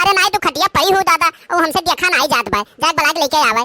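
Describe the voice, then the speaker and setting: Using a cartoonish character voice at an extremely high pitch, a woman rattles along at a very fast pace with lively intonation and very even loudness in a dry, close sound with no echo. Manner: scolding, loud.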